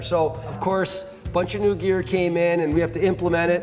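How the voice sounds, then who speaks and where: A man talks at a moderate pace. Clear music sounds in the background. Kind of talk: interview answer. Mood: cheerful, joking. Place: garage.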